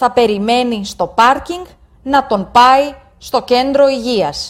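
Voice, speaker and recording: A woman speaks at a very slow pace. Her pitch is high. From Greece. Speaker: story narrator for language learners. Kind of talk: reading aloud.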